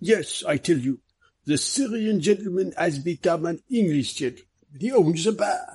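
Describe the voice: In a put-on character voice, a man talks at a moderate pace with a high pitch, lively intonation, a slightly mellow tone and a slightly husky edge.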